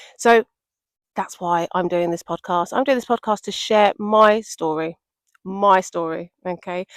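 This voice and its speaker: In a very clean recording with a silent background and a dry, close sound with no echo, a woman with a medium pitch speaks at a fairly slow pace with ordinary pitch variation. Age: 40s. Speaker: podcaster. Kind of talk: personal testimony. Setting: outdoors in woods. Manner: casual, repetitive; laughing while speaking.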